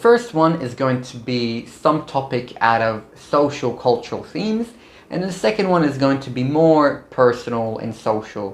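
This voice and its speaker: At a moderate pace, a man speaks with a medium pitch and lively intonation. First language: not English. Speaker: medical student YouTuber. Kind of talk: vlog tutorial. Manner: casual, upbeat.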